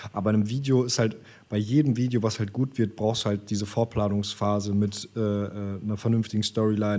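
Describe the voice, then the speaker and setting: A man with a fairly low pitch and a dark, mellow tone talks at a fairly quick pace in a monotone, flat intonation. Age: 20s. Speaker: videographer, company co-founder. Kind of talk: casual interview chat. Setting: remote recording.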